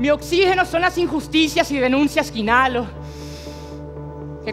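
Over clear background music, a man with an extremely high pitch for a man talks at a moderate pace. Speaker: spoken word poet. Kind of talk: spoken word performance. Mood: emotional, pleading. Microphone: headset.

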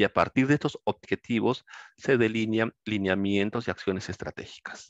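A man talks at a moderate pace with a fairly low pitch and fairly even intonation. The background is quiet and the sound is dry with no echo. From Peru. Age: 50s. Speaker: law lecturer. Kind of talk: lecture. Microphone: headset.

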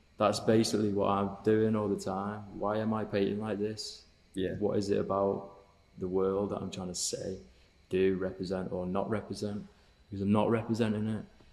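Speaking at a moderate pace, a man with a northern English accent keeps a monotone, flat intonation at a fairly low pitch. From northern England (Cheshire); northern England. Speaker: painter; guest. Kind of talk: casual interview chat. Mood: relaxed, reflective. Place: studio. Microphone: studio mic.

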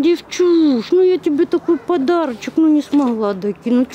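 Lively intonation runs through a woman's dark, mellow tone at a moderate pace. Faint background noise can be heard.

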